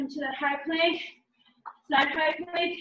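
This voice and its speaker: Over a quiet background with audible room echo, a woman speaks fairly slowly in a high voice with monotone, flat intonation. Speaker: fitness instructor. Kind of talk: exercise class instruction. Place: gym. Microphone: camera far.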